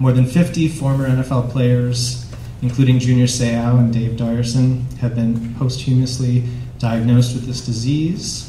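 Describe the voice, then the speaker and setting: In a room with audible echo and noticeable background noise, a man with a medium-pitched voice speaks at a moderate pace. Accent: American. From Wisconsin, Green Bay. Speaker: professor and moderator. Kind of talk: moderated panel.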